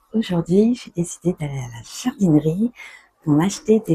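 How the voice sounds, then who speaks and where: Her dark, mellow, somewhat breathy voice sits at medium pitch with very wide pitch swings, the sound dry and close with no echo. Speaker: French teacher. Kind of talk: vlog-style language lesson. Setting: garden centre, on location. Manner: slow; animated.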